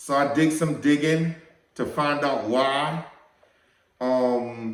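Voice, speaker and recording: Here a man talks at a very slow pace with a fairly high pitch. His intonation stays fairly even. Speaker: firearms channel host. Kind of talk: casual vlog talk to camera.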